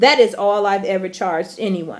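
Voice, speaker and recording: With the background quiet, a woman talks at a moderate speed, her pitch varying in an ordinary way. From US Midwest, Chicago. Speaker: vlogger and teacher abroad; vlogger, teacher abroad. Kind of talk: angry rant vlog. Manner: emphatic, repeated okay. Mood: angry, hurt, confrontational. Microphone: phone near.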